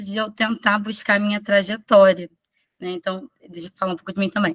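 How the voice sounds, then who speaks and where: A woman at a medium pitch uses ordinary pitch variation, heard in a dry, close sound with no echo. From Rio de Janeiro, Manguinhos favela. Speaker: preschool teacher presenting research. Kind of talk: conference presentation. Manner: halting, many restarts.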